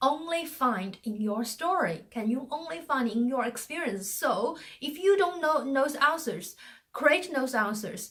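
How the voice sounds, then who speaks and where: A woman with a non-native accent speaks in a high pitch at a fairly slow pace. Her pitch swings very widely. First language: not English. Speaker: communication coach. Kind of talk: motivational talk. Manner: hesitant, many fillers.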